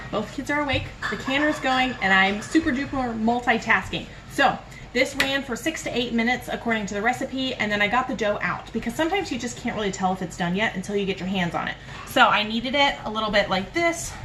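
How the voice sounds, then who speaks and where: A woman talks at a very fast pace with lively intonation and a fairly high pitch. Noticeable background noise is present. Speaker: home cooking video host. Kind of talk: cooking tutorial. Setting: home kitchen. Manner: casual.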